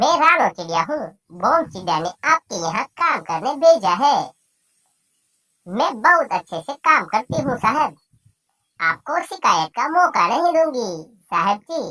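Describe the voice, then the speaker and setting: A female-sounding cartoonish character voice, high-pitched with very wide pitch swings, at a fairly slow pace. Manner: servile in disguise, shrill and menacing as a ghost.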